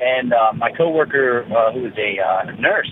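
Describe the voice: With an American accent, a man speaks in lively intonation that carries a slightly husky edge. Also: medium pitch for a man, moderate pace.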